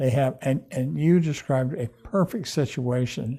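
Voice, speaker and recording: On a very clean recording with a silent background, a man with a dark, mellow, somewhat breathy tone speaks at a moderate pace with ordinary pitch variation. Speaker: TV and radio show host. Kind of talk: interview on TV talk show. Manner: halting, repeats words.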